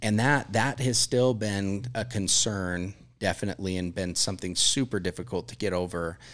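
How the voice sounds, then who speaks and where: On a very clean recording with a silent background, a man with an unremarkable speaking voice talks at a moderate pace, fairly low in pitch and with ordinary pitch variation. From Utah, US. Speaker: catering company general manager. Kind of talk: casual interview. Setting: studio.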